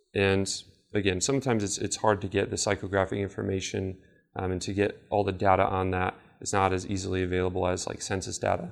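In a very clean recording with a silent background, a man with a normal speaking voice talks at a fairly quick pace with a fairly low pitch. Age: 20s. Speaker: marketing seminar presenter. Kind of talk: lecture.

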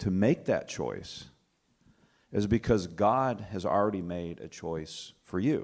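A man speaks with a plain, everyday voice at a fairly low pitch and a fairly slow pace. His intonation is lively, and the recording is very clean with a silent background. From US South, Alabama. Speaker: church ministry worker. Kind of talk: panel discussion.

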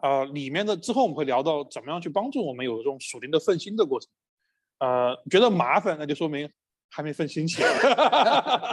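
A man at a moderate pace with a fairly high pitch and very wide pitch swings. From Chengdu, China. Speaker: pastor. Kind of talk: church workshop presentation in dialogue. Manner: hesitant with frequent fillers.

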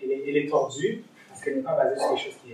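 Noticeable background noise is present. Through it, a man's voice can be heard. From East Africa. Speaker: lay preacher. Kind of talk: sermon. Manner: halting.

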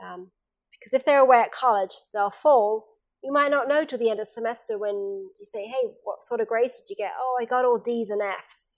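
A woman with an English accent talks at a fairly quick pace in a high voice. Her loudness swings a lot, while her pitch varies in an ordinary way. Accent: English accent, retained. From England. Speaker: seminar presenter, former university staff. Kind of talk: seminar talk. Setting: camp meeting seminar with small audience.

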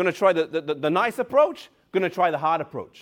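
A man talks at a fairly quick pace with lively intonation. The recording is very clean, its background silent. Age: 30s. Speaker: preacher. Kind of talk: sermon.

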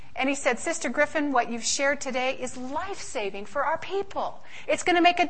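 Over noticeable background noise, a woman speaks in a high voice with lively intonation. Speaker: health educator. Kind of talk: lecture. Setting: stage with audience. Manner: fast.

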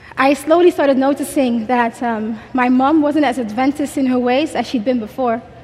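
Noticeable background noise runs behind a woman speaking in a high pitch with hardly any pauses. Her intonation stays fairly even. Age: 20s. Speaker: conference speaker. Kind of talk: testimony. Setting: stage with audience. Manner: fast talker.

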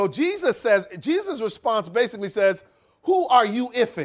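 This is a man speaking with an American accent. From United States. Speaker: preacher. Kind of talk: sermon. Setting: conference hall with audience.

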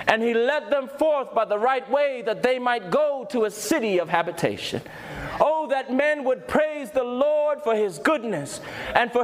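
Over noticeable background noise, a man with an extremely high pitch speaks with lively intonation. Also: very even loudness. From England. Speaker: preacher sharing testimony. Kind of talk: sermon and personal testimony, ending in an altar call. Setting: stage with audience at a youth conference. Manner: urgent, fervent preacher in full flow, pleading and exhorting; emphatic, direct appeals to the congregation.

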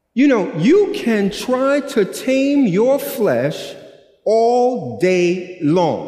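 Amid audible room echo, a man with an American accent speaks very slowly at an extremely high pitch, his voice swinging very widely up and down. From US, New York (Brooklyn). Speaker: pastor. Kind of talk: sermon-style lecture. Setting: camp meeting with live audience. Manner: animated.

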